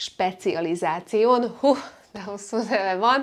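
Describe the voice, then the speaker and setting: A female voice moves along fairly slowly. It sits over a quiet background. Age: 20s. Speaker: beauty and lifestyle vlogger; lifestyle vlogger. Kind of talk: casual vlog monologue. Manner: chatty, jumping between topics. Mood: cheerful, expressive. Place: home room. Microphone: lapel.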